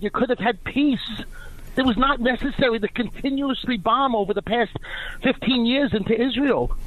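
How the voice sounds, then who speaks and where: A man with a New York accent speaks at an extremely high pitch, his loudness staying very even throughout. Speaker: caller. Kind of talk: call-in. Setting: phone call.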